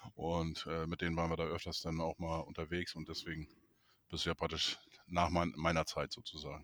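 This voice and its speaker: Speaking at a fairly quick pace, a man with a very deep, low voice holds a flat, monotone intonation. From Neustadt in Holstein, northern Germany. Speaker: football fan podcast host. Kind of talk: casual chat.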